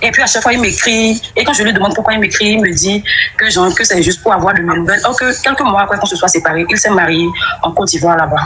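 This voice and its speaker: A woman talks at a very fast pace. Noticeable background noise is heard. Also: medium pitch for a woman, ordinary pitch variation, very even loudness. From Benin. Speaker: caller. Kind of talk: testimony.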